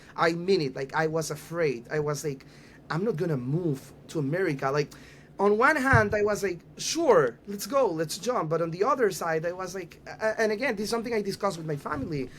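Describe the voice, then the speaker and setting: A man's high, lively voice with a Panamanian accent at a fairly quick pace. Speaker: youth organization rabbi. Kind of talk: podcast interview. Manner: halting, with fillers and repeats.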